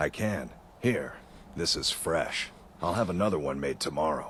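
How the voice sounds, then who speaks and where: Using a put-on character voice, a man talks at a moderate pace with a very deep, low pitch over clear background noise. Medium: video game.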